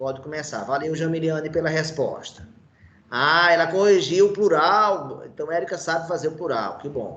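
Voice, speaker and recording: In a normal speaking voice, a man with a fairly high pitch talks at a moderate pace and ordinary pitch variation. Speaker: teacher. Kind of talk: online lecture.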